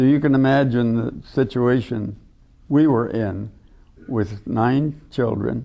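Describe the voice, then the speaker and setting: A man with an American accent, medium pitch, ordinary pitch variation and a very slow pace. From US Midwest, southern Minnesota. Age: 80s+. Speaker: retired wildlife professor. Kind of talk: interview, life story. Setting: auditorium with audience. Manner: halting.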